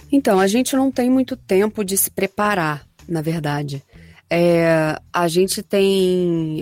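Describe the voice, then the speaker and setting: With lively intonation and a medium pitch, a woman speaks very slowly in a dry, close sound with no echo. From Rio de Janeiro, Brazil. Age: 30s. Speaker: voice actress. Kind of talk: interview.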